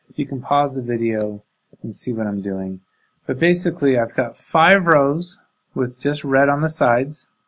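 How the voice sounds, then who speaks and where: A man's normal speaking voice at medium pitch, with lively intonation and a moderate pace. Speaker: coding teacher for elementary students. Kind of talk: tutorial. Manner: casual, thinking aloud.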